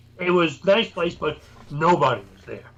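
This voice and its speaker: A man with a New York accent talks at a moderate pace, his pitch high with ordinary variation. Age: 60s. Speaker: paranormal investigator. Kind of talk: casual chat.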